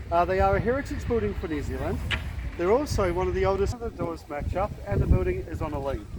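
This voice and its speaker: Words come at a very fast pace. Noticeable background noise and audible room echo fill the recording. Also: man. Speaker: gondola tour guide. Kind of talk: guided tour commentary. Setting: outdoors on a river boat.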